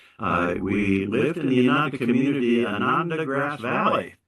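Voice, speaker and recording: A man with lively intonation at a fairly slow pace, in audible room echo. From US West. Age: 70s. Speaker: spiritual teacher. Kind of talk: sermon. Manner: halting, many fillers.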